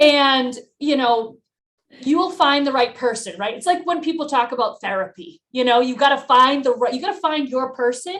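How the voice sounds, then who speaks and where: A woman speaks loudly at a high pitch with lively intonation and a bubbly tone. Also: moderate pace. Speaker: financial advisor. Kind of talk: podcast interview.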